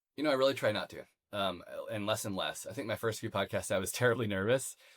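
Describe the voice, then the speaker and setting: A man with a Midwestern American accent talks very fast with fairly even intonation. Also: medium pitch for a man. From US Midwest, Missouri countryside. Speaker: podcast host. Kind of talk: interview conversation. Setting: home office.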